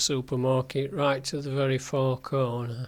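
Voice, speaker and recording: A man with a Yorkshire accent and a fairly high pitch. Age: 70s. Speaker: walking guide vlogger. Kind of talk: narrated slideshow tutorial. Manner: hesitant, many fillers.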